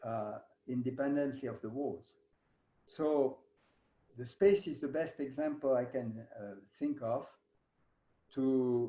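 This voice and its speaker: In a French accent, a man with a dark, mellow tone speaks at a medium pitch and a very slow pace, with ordinary pitch variation and long, frequent pauses. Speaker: yoga teacher. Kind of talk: lecture. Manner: halting.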